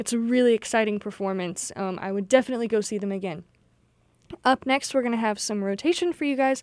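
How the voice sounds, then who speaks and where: A woman with an ordinary speaking voice, a fairly high pitch and ordinary pitch variation, in a dry, close sound with no echo and a very clean recording with a silent background. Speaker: college radio DJ. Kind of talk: radio DJ patter introducing songs and station IDs. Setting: radio studio broadcast. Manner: friendly, casual, upbeat with frequent filler 'um'.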